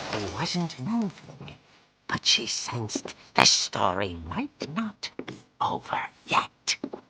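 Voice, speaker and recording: Putting on a character voice, a man talks at a very slow pace. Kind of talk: horror comic narration. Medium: short film. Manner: theatrical, relishing.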